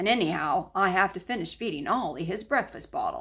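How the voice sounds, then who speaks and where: A woman puts on a character voice at a medium pitch and speaks at a fairly quick pace. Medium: read story. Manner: patient, gentle.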